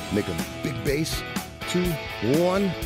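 At a fairly slow pace, a man speaks over clear music in the background. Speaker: fitness instructor. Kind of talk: workout instruction cues. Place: studio.

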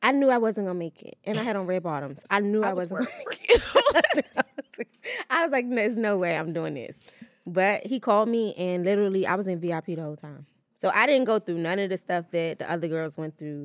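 Lively intonation at a fairly quick pace, with big swings in loudness over a quiet background. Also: woman. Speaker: podcast guest. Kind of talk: interview answer. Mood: animated, laughing storytelling. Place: studio. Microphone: studio mic.

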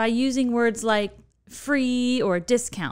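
A woman's high voice in an American accent at a moderate pace, over a quiet background. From Chicago, Illinois. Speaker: podcast host. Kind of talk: podcast interview. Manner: animated. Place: studio. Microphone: studio mic.

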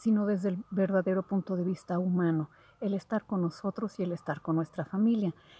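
A woman speaks at a moderate pace in a dark, mellow, somewhat breathy tone, with fairly even intonation and a dry sound with no echo. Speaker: spiritual content creator. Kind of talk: casual vlog chat, instructions. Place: garden. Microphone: phone near.

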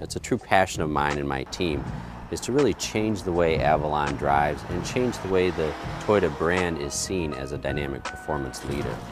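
A man's very deep, low voice with ordinary pitch variation, dry with no echo, music in the background. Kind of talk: interview answer. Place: street. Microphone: lapel.

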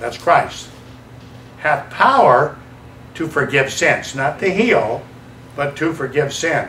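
With an American accent, the voice carries audible room echo and light background noise. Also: man. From US South. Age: 70s. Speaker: evangelist preacher. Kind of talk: sermon. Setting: church. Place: church.

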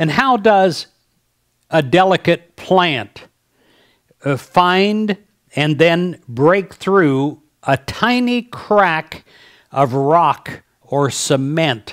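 Against a quiet background, a man speaks at a high pitch with lively intonation. His pace is very slow, with long, frequent pauses. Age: 60s. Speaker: pastor; speaker. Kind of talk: devotional message. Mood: warm, gentle, inspirational. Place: home room. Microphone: headset.

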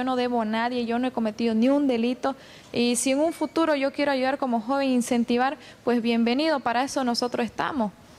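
A woman talks at a very fast pace in a high pitch with ordinary pitch variation. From Bolivia. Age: 20s. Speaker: beauty queen and communication student; interviewee. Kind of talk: TV interview. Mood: defensive, firm. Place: street. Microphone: handheld.

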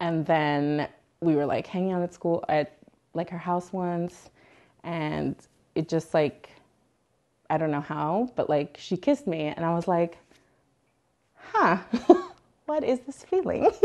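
In a quiet background, a woman speaks with long, frequent pauses. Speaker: interviewee. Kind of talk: interview answer. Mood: warm, amused, laughing often. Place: home room. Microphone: lapel.

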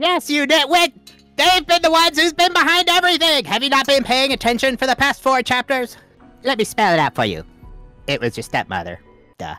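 A high voice at a fairly quick pace, with faint music in the background. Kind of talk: comic overacting. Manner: smug, mocking.

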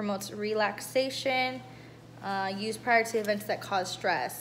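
A woman at a fairly slow pace with ordinary pitch variation and light background noise. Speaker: vlogger. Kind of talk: casual vlog chat. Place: home room. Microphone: phone near.

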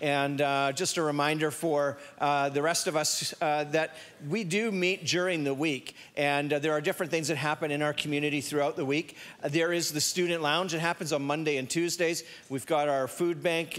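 At a moderate pace, a man talks with monotone, flat intonation and very even loudness. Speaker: pastor giving announcements. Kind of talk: church announcements. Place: church. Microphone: handheld.

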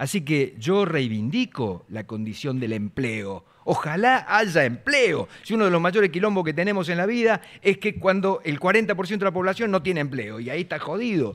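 A man with a Rioplatense accent talks at a moderate pace in a high pitch, with hardly any pauses. His pitch swings very widely. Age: 60s. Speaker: football pundit. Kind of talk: heated debate.

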